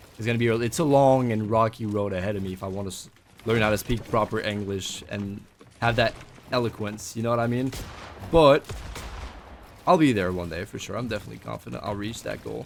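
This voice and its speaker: Against noticeable background noise, a man with a fairly low pitch and ordinary pitch variation talks at a fairly quick pace, with big swings in loudness and long, frequent pauses. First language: not English. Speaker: gaming streamer / vlogger. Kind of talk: casual vlog talk while gaming.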